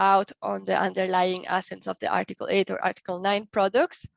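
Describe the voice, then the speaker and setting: A woman talks at a moderate pace with a medium pitch. The sound is dry and close with no echo, over a quiet background. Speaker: webinar presenter on financial regulation. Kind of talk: webinar presentation. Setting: online webinar. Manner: hesitant with frequent fillers.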